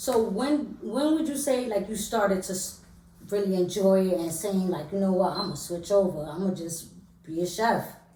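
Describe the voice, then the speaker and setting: A woman's medium-pitched voice with lively intonation at a moderate pace, plus audible room echo. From New York, Harlem. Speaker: podcast host. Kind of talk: casual interview.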